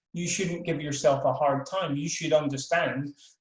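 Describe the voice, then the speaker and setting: Speaking in a Scottish accent, a man talks at a fairly slow pace with fairly high pitch and fairly even intonation. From Scotland. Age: old. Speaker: professor. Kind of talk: webinar talk. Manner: halting, many repeated words.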